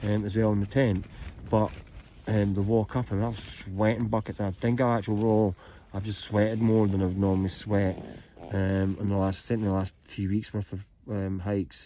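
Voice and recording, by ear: At a moderate pace, a man speaks with a fairly low pitch, little pitch movement and a dark, mellow tone.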